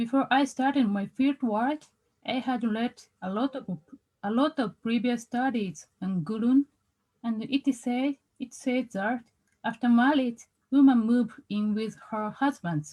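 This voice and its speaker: With a Japanese accent, a woman speaks at a high pitch and a fairly slow pace. Her tone is dark and mellow, with ordinary pitch variation. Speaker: researcher. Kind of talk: conference presentation. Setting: video call. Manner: halting.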